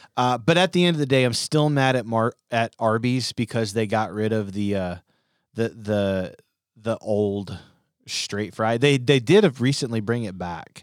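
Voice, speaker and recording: A man speaks in an unremarkable speaking voice at medium pitch. His pitch varies in an ordinary way. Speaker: student pastor podcast co-host. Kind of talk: casual chat. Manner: jokey.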